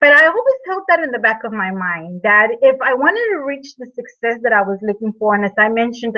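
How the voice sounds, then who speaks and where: A woman with a non-native accent speaks at a fairly quick pace. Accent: speaks English with an. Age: 40s. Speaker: network marketer, fitness product seller. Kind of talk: webinar presentation, personal testimony. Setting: online video hangout with slides. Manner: halting, many fillers and repeats.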